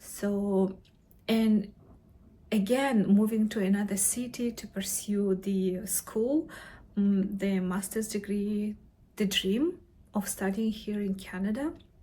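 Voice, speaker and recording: Somewhat breathy with a dark, mellow tone, a woman with a non-native accent talks very slowly at a medium pitch with fairly even intonation. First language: not English; English is third language. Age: middle-aged. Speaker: vlogger, mature graduate student. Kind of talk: personal vlog to camera. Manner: halting, with many fillers and self-corrections.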